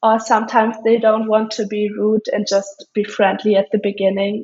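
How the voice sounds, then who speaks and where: A woman's fairly high voice in a German accent, at a fairly slow pace. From Germany. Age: young. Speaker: student athlete. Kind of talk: interview.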